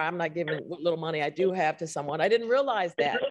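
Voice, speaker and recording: In an American accent, a woman talks at a very fast pace, her pitch swinging very widely. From Texas. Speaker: public housing board member and activist. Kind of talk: speech at event.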